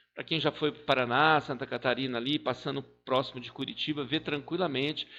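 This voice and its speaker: Here is a man with a bright, sharp tone. The background is quiet. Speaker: exam prep teacher. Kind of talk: lecture.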